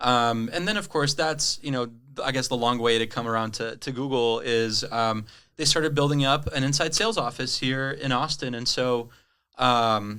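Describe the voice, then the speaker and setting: A man at medium pitch with a bright, sharp tone, ordinary pitch variation and a moderate pace, on a very clean recording with a silent background. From Brazil. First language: Portuguese. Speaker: tech sales rep. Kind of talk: interview conversation. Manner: frequent fillers and hedges.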